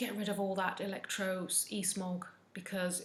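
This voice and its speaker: A woman speaks with a somewhat breathy voice, and the room echo is audible. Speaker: wellness vlogger, mental health nurse. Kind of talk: casual advice talk to camera. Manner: occasional stumbling over words.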